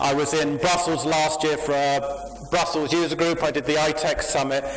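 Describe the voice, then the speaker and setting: Through noticeable background noise and audible room echo, a man with a British accent talks at a moderate pace in a fairly high pitch. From UK. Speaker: software company founder and conference speaker. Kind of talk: tech conference talk. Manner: animated.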